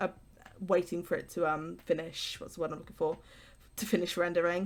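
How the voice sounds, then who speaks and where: A woman with a West Midlands accent talks at a very fast pace. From England, West Midlands. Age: 20s. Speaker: YouTuber, gaming let's player. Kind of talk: casual gameplay commentary. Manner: unscripted, hesitant with fillers.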